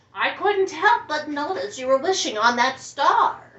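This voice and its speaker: A woman uses a put-on character voice pitched high. Her pitch swings very widely while she keeps a moderate pace. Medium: read story.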